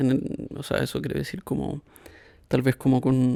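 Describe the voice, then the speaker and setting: Soft-spoken and relaxed, a man talks fairly slowly in a medium-pitched, dark, mellow voice, captured with a dry, close sound and no echo. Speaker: podcast host. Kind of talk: casual reflective monologue. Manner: soft-spoken, quiet; relaxed, hesitant fillers.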